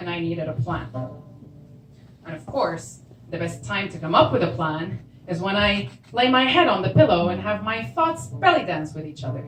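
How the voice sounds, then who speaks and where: Against music in the background, a woman with a fairly low pitch speaks at a moderate pace, her pitch swinging very widely and her loudness rising and falling sharply. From Syria. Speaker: storyteller. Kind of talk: live storytelling performance.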